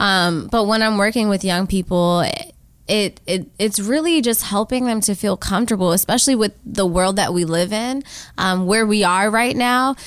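An unremarkable speaking voice with an American accent talks at a moderate pace with ordinary pitch variation, on a very clean recording with a silent background. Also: woman, medium pitch for a woman. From Washington, D.C. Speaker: artist and storyteller. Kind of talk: interview.

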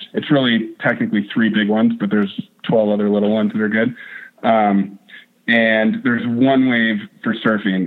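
A man's plain, everyday voice in an American accent, medium in pitch, with fairly even intonation. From North Idaho. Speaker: whitewater park wave shaper. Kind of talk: interview.

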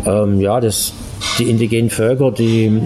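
A man speaks with a fairly low pitch in a monotone, flat intonation. His pace is moderate, and there is noticeable background noise. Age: 50s. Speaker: interview guest. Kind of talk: casual interview. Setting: Italian restaurant.

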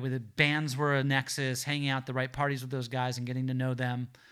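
A man with an American accent speaks very fast at a medium pitch, with a bright, sharp tone. His intonation is fairly even, and the recording is very clean with a silent background. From Los Angeles South Bay, California. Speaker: crime fiction writer and rock drummer. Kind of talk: casual interview. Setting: in person after a bookstore reading. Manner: halting, many fillers.

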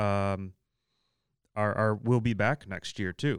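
The recording is very clean, with a silent background and a dry, close sound lacking echo. A man speaks at a medium pitch. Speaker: podcast host. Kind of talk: casual chat.

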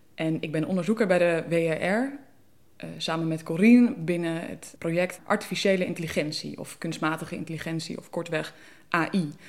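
An unremarkable speaking voice goes at a moderate pace with ordinary pitch variation. Its loudness swings widely. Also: woman, fairly low pitch for a woman. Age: 20s. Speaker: policy researcher, philosopher. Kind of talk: podcast interview, conversation.

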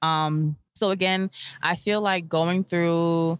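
The speaker has a New York accent. The intonation stays fairly even. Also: woman. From US, Brooklyn, New York. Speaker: cancer survivor and stylist. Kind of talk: interview testimony.

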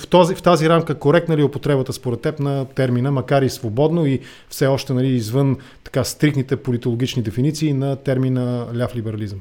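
Delivered at a fairly brisk clip, this man's voice has a dark, mellow tone. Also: medium pitch for a man, ordinary pitch variation. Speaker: podcast host. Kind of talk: political interview.

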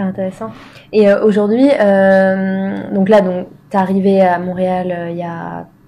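At a fairly slow pace, a woman speaks with medium pitch, fairly even intonation and a dark, mellow tone. Her loudness swings widely. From France; southwest France. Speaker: podcast host and interviewer. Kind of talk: casual interview. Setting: at the guest's apartment.

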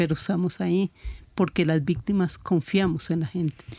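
At a moderate pace, a woman speaks with a dark, mellow tone, a fairly low pitch and fairly even intonation. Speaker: victims' family advocate. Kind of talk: radio panel discussion.

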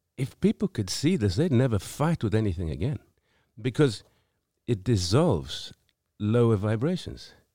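A man with a South African accent speaks at a moderate pace and medium pitch, in a dark, mellow tone with vocal fry and very wide pitch swings, leaving long, frequent pauses. The recording is very clean with a silent background and a dry, close sound with no echo. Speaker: singer-songwriter. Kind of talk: casual chat. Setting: studio.

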